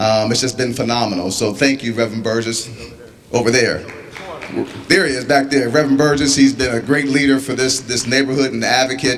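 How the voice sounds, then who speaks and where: A man's medium-pitched voice in an American accent, fairly quick and fairly even in intonation, with audible room echo and noticeable background noise. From Pittsburgh, Pennsylvania. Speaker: company executive. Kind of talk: community meeting speech. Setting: community meeting with audience.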